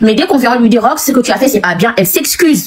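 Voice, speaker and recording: A woman with a Senegalese accent speaks with lively intonation over noticeable background noise. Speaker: guest on a live stream. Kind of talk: heated debate. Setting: live video stream. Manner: animated.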